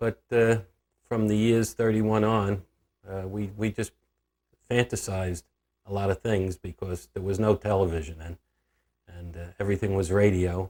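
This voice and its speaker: Speaking at a moderate pace with an American accent, a man has a fairly low pitch and a dark, mellow tone. His intonation stays fairly even while his loudness swings widely, with long, frequent pauses. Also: very clean recording, silent background. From New York, Long Island. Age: 70s. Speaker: grandfather telling life story. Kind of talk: interview reminiscence. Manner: halting, many fillers.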